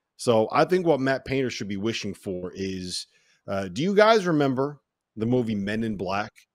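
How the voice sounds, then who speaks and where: A man's animated, medium-pitched voice with lively intonation, in a very clean recording against a silent background. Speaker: podcast host. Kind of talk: casual sports banter, holiday special. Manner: animated, joking.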